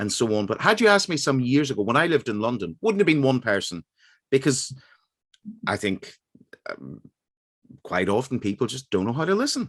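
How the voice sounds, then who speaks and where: Against a quiet background, a speaker with an Irish accent moves at a fairly quick pace, swinging very widely in pitch and taking long, frequent pauses. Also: man, medium pitch for a man. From Northern Ireland, Derry. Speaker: radio host. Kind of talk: radio interview.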